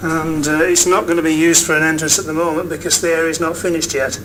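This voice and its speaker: In an English accent, a man talks at a very fast pace with monotone, flat intonation. Noticeable background noise and audible room echo are present. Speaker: video blogger filming building progress. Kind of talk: walkthrough narration. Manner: halting.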